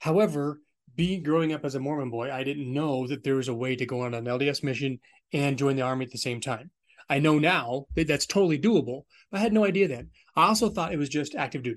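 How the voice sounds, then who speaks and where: A man with an American accent talks very fast at a fairly high pitch. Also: ordinary pitch variation. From Southern California, Orange County. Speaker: army veteran. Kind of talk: interview.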